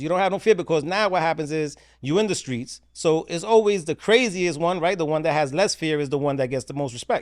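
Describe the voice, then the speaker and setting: A man with a fairly high pitch, lively intonation and a very fast pace, on a very clean recording with a silent background. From New York, the Bronx. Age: 50s. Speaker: former prisoner turned author. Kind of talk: podcast interview. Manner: casual, conversational.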